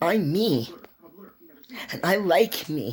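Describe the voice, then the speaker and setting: Noticeable background noise sits behind a voice with very wide pitch swings. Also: woman. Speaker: vlogger. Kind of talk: personal monologue. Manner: loud; animated.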